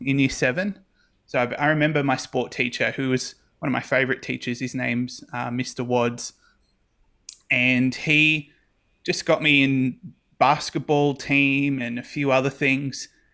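In an Australian accent, a man talks at a moderate pace with a bright, sharp tone and a fairly high pitch that shifts in an ordinary way, on a very clean recording with a silent background. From South West Sydney, Australia. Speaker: church ministry worker and podcaster. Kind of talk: casual interview chat.

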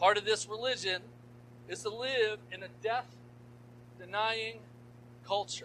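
The voice is raised and projected, with big swings in loudness and ordinary pitch variation. It moves at a fairly slow pace with long, frequent pauses. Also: man, high pitch for a man. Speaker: pastor. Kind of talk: sermon.

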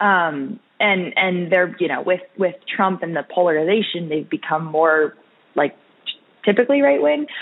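A woman talks with an American accent at a fairly low pitch. Her pace is moderate. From US West Coast, Orange County, California. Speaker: college student and political activist. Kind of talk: interview. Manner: halting, many fillers.

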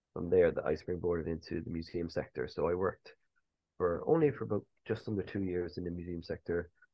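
This voice, with a Cork accent, moves at a fairly quick pace. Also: man. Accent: Irish (Cork). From Ireland, Cork. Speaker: archaeologist. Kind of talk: interview. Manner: halting, many fillers.

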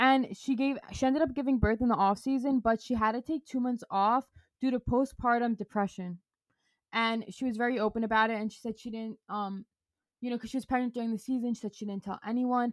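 Loud and high-pitched, a woman speaks at a fairly quick pace with fairly even intonation, in a dry, close sound with no echo. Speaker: sports podcast co-host. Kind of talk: casual chat.

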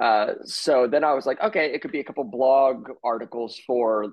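Lively in intonation, a man with an unremarkable speaking voice talks at medium pitch and a moderate pace. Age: 20s. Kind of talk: casual interview chat.

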